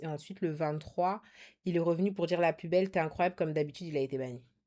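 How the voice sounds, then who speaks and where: A woman's very deep, low voice, dark and mellow in tone, with fairly even intonation. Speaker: streamer. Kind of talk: casual chat. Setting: video call. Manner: loud.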